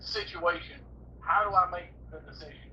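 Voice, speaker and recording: Amid noticeable background noise, a man with an American accent speaks at a fairly slow pace. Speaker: professional bass angler. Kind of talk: casual interview chat. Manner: halting, many repeated words.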